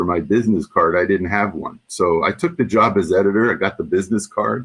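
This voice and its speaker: Speaking with a New York accent, a man uses a fairly low pitch with ordinary pitch variation. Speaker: former journal editor and association past chair. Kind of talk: interview. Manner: halting, many fillers.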